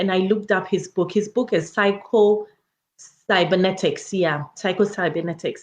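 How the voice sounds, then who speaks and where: At a moderate pace, a woman with an African accent speaks in an animated tone. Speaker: educator and public health researcher, wellness coach. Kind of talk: motivational talk.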